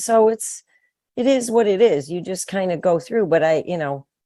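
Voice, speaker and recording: A woman's ordinary speaking voice, fairly low in pitch, lively in intonation and fairly quick, over a quiet background. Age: 60s. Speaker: midlife strength trainer. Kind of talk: interview. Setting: podcast interview.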